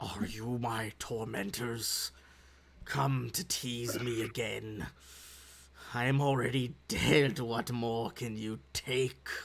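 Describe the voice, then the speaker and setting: A man puts on a character voice, talking at a medium pitch and a very slow pace. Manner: bitter, haunting.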